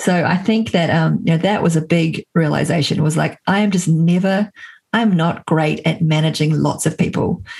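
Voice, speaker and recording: A woman's fairly low voice with vocal fry and an American accent, fairly even intonation, very even loudness and a moderate pace. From New Zealand. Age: 40s. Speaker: entrepreneur and author. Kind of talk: interview.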